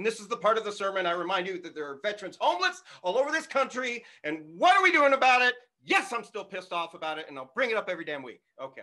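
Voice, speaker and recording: A man speaks in a raised, projected voice at a very fast pace, his tone animated. His high pitch swings very widely, and his loudness swings a lot too. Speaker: cannabis church minister and podcaster. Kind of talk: church-style service with prayer and personal talk. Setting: recorded for video and audio podcast, with a live green room. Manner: loud, animated.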